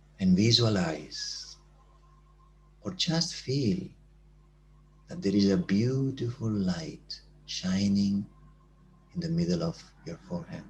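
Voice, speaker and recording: A man talks at a very slow pace in a fairly low, somewhat breathy voice, with long, frequent pauses. His pitch swings very widely. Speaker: meditation teacher. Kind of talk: guided meditation.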